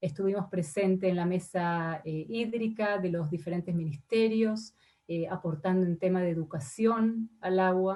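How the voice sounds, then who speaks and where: A woman's somewhat breathy, dark, mellow tone, medium pitch with ordinary variation, fairly slow pace, quiet background. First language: not Spanish (Spanish is her third language) (speaking Spanish). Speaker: ambassador. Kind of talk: formal testimony before senate committee. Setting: senate committee session. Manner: hesitant, many fillers.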